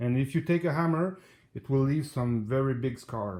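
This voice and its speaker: Somewhat breathy and fairly high for a man, his voice carries lively intonation. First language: French. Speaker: DIY hobbyist. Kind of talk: tutorial. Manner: halting.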